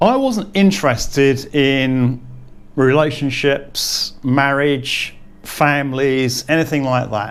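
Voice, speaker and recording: Speaking at a very slow pace, a man has a fairly high pitch and ordinary pitch variation. Audible room echo surrounds the voice. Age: 60s. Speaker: expat vlogger. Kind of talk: casual monologue vlog. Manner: halting, with repetitions.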